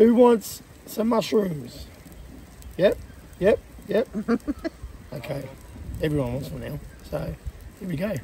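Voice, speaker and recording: With an Australian accent, a man talks at a fairly slow pace with long, frequent pauses, his fairly high pitch making very wide swings and his loudness swinging widely too. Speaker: vlogger. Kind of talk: casual chat.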